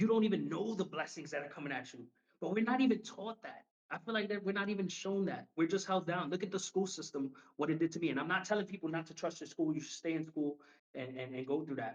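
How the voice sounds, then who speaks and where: A man's high-pitched voice in a New York accent, very fast in pace, with ordinary pitch variation. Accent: New York City. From New York City, Harlem. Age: 30s. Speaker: professional wrestler. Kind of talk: casual interview chat.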